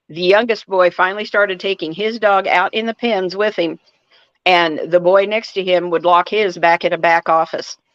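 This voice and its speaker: Here a woman has an ordinary speaking voice with a fairly low pitch. She speaks at a fairly slow pace, the sound dry and close with no echo. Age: 60s. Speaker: livestreamer. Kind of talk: casual chat. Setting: live stream.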